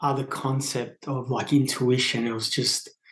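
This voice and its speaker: A man's fairly high-pitched voice in an Australian accent, with fairly even intonation at a moderate pace. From Australia, northern New South Wales. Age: 30s. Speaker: podcast guest sharing spiritual experience. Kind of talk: casual interview conversation. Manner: hesitant, many fillers.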